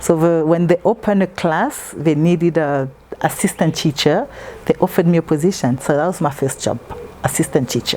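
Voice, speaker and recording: A woman with a fairly low pitch at a fairly quick pace, with noticeable background noise. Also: ordinary pitch variation. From Congo. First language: French. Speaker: interviewee. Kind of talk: interview.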